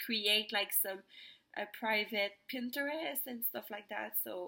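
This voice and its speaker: A woman in a Quebec accent. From Quebec, Montreal. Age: 20s. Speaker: vlogger. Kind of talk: personal testimony vlog. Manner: halting, many fillers.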